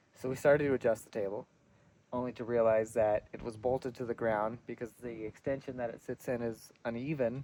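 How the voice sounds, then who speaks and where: The voice has a dark, mellow tone and a fairly quick pace. Its intonation is monotone and flat, with big swings in loudness. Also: man, medium pitch for a man. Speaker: vlogger. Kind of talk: casual vlog narration. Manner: hesitant, many fillers.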